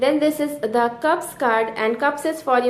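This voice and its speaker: Amid audible room echo and noticeable background noise, a woman speaks at a moderate pace with ordinary pitch variation. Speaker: tarot teacher. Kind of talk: tutorial. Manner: halting, many fillers.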